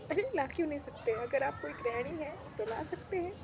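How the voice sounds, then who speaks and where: A woman's voice sits high in pitch and moves through very wide pitch swings. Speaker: vlogger. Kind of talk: casual vlog monologue. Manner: animated, chatty.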